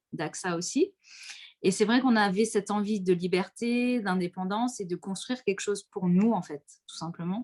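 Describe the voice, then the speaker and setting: A woman with a plain, everyday voice speaks at medium pitch and a moderate pace with fairly even intonation, in dry, close sound with no echo. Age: 30s. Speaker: insurance and real estate entrepreneur. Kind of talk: casual interview. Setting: online live stream.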